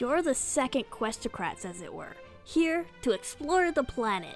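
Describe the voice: A woman speaks in a put-on character voice, high-pitched with big swings in pitch, at a fairly slow pace over faint background music.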